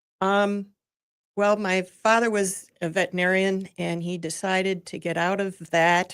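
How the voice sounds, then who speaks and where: A woman with an Upper Midwest accent talks at a fairly slow pace. Her medium-pitched voice stays monotone, with flat intonation. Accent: Upper Midwest American. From Michigan (Lansing area). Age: 70s. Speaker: nonprofit president. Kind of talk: radio interview. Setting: studio.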